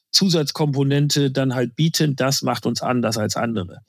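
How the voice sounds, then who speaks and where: A man with a fairly high pitch speaks at a moderate pace in an ordinary speaking voice, with ordinary pitch variation. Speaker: insurance sales executive. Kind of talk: interview. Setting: remote call.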